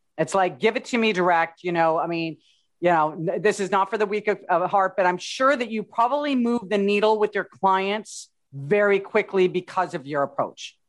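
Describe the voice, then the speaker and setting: Medium in pitch with ordinary variation, a woman speaks in an ordinary speaking voice. Her pace is moderate, and the background is quiet. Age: 50s. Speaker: podcast host. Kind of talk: interview.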